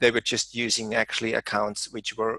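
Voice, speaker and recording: A man with a German accent speaks at a medium pitch, his bright, sharp tone captured in a dry, close sound with no echo. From Germany. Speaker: software trainer. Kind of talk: webinar presentation.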